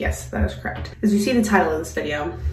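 A woman's voice carries noticeable echo from the room. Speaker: mom vlogger. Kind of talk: casual vlog chat. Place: home room.

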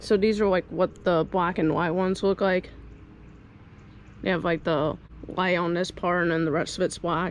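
Over light background noise, a woman speaks at a moderate pace and fairly low pitch, with monotone, flat intonation, vocal fry, very even loudness, and a dry sound with no echo. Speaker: vlogger. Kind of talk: casual vlog chat. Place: garden. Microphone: phone near.

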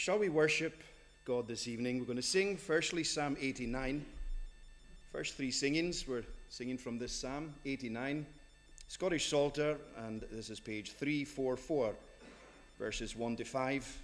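Faint music plays in the background. The speech comes at a fairly slow pace with long, frequent pauses and ordinary pitch variation. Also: man. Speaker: minister. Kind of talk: church service announcements and reading. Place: church. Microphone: podium.

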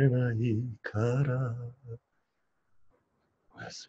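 Against a quiet background, a man whispers in a somewhat breathy way. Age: 50s. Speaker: boyfriend reading romantic lines. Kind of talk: late-night radio style romantic reading. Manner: whispered, sweet. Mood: intimate, playful. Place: home room. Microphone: video call.

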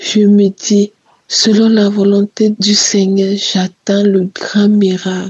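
Her voice is somewhat breathy. The woman's pitch is medium. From Cameroon, Yaoundé. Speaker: testimony giver. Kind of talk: testimony.

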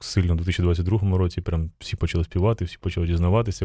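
A man with a very deep, low pitch and a dark, mellow tone speaks at a fairly quick pace, somewhat breathy. His intonation is fairly even, and the recording is very clean with a silent background. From Ukraine. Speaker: radio host. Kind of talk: casual interview. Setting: live radio broadcast at a festival.

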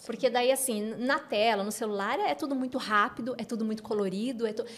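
A woman's fairly high pitch, fairly even intonation and moderate pace. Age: 40s. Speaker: educational neuropsychopedagogue; guest. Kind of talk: interview. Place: studio. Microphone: studio mic.

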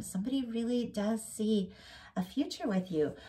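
Her voice sits at a medium pitch, somewhat breathy with a dark, mellow tone, and this woman's intonation is lively. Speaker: tarot reader. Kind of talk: tarot reading monologue. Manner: rambling, self-correcting.

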